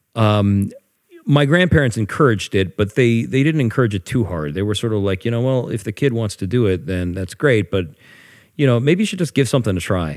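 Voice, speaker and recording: A man with an American accent, medium pitch and lively intonation, on a very clean recording with a silent background. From Pittsburgh, Pennsylvania. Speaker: jazz woodwind musician. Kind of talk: casual interview chat. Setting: studio couch. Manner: halting, many fillers and repeats.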